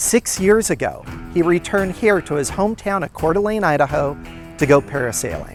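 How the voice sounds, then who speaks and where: Music runs in the background. Over it, the speech goes along fairly quickly. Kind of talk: documentary narration.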